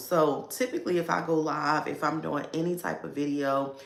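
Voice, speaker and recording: With an American accent, a woman talks at a moderate pace in a very deep, low pitch with ordinary variation and vocal fry, and the room echo is audible. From Baltimore, US. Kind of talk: casual livestream talk. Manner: filler-heavy, conversational.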